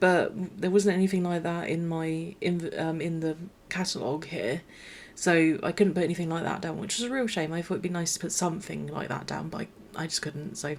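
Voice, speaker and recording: Quiet and fairly low-pitched, a woman speaks at a fairly quick pace with fairly even intonation. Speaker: gaming YouTuber. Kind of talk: gameplay commentary voiceover. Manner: quiet, low energy; hesitant, many fillers and restarts.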